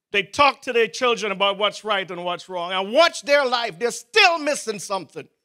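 Against a quiet background, a man with a high pitch and a bright, sharp tone speaks in a raised, projected voice at a moderate pace, animated in tone with hardly any pauses. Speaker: preacher. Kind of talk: sermon. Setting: church. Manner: animated, fervent preaching with rising emphasis and repeated exhortations; pleading, urgent prayer-like delivery with interjections of 'O oh God'. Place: church. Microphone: handheld.

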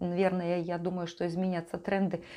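A woman speaks at a moderate pace in a warm, dark, mellow tone. The background is quiet. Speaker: life coach and vlogger. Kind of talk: monologue to camera, vlog-style talk. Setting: home video recording. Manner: warm, conversational, reflective. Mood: calm, reflective. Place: home room. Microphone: lapel.

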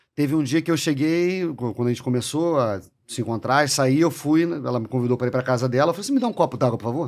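Speaking very fast with hardly any pauses, a man with a Carioca accent uses a fairly high pitch and ordinary pitch variation. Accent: carioca Brazilian Portuguese. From Rio de Janeiro, Brazil. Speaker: chef and bar owner; podcast guest. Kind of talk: casual chat. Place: studio. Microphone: studio mic.

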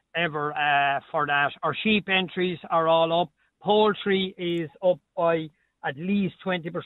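Speaking in an Irish accent, a man with a high pitch talks at a fairly slow pace with fairly even intonation. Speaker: agricultural show organiser. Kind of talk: radio interview.

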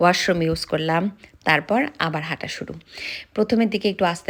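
The woman has an ordinary speaking voice, fairly low in pitch with ordinary pitch variation. The recording is very clean, with a silent background. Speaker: vlogger. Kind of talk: vlog narration. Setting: outdoors in a park.

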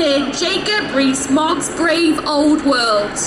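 A woman at a very slow pace amid loud background noise. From North Wales, Anglesey. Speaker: youth activist. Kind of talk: rally speech. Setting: outdoor stage with crowd. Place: street.

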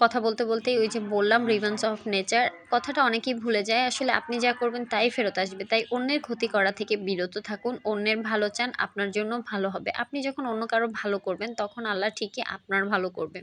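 Her voice sits at a fairly high pitch, and the woman keeps a fairly even intonation. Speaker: cooking vlogger. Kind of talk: cooking tutorial.

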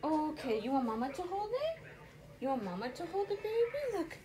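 Over noticeable background noise, a woman speaks at a moderate pace in an extremely high pitch. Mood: tender, coaxing. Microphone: phone near.

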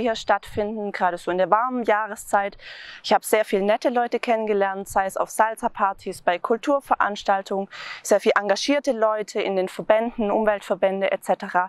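This woman's voice sits fairly high, with ordinary pitch variation, at a moderate pace. The sound is dry, with no echo. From Swabia, Germany (Tübingen); Swabia, Germany. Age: 30s. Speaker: local election candidate; election candidate. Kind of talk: campaign self-introduction. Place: open country. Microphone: lapel.

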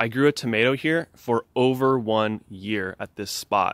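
Recorded dry with no echo, a man speaks with ordinary pitch variation. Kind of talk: casual vlog chat. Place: garden. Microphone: phone near.

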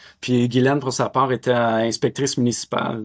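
Speaking in a Quebec accent at a fairly slow pace, a man holds a medium pitch with monotone, flat intonation against a quiet background. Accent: Québécois French. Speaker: winery owner; guest. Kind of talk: interview. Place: home room. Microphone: webcam.

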